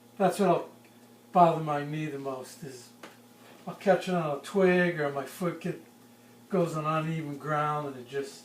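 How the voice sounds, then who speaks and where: With audible room echo, a man with a fairly high pitch talks at a fairly slow pace, leaving long, frequent pauses as his loudness swings widely. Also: fairly even intonation. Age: 60s. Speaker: forester. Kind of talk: interview. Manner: halting.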